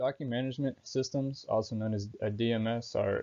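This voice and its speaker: A man speaks at a moderate pace in a medium pitch with monotone, flat intonation. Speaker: student. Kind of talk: class presentation. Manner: hesitant, many filler words.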